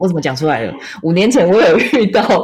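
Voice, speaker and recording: With a Taiwanese accent, a woman speaks at a moderate pace in a fairly low voice, her intonation lively. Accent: Taiwanese Mandarin. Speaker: podcast host and astrology consultant. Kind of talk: casual chat.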